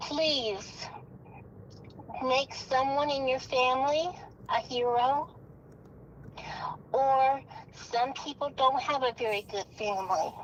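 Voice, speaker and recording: A woman's high voice at a very slow pace, with long, frequent pauses, ordinary pitch variation and noticeable background noise. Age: 60s. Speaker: caller. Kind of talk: personal plea.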